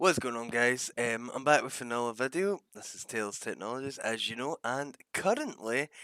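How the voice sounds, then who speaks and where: A man with a Glaswegian accent talks at a moderate pace and medium pitch, with ordinary pitch variation, big swings in loudness and hardly any pauses. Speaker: gaming tech YouTuber. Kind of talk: casual talk-to-camera discussion. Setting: recorded with gameplay in background.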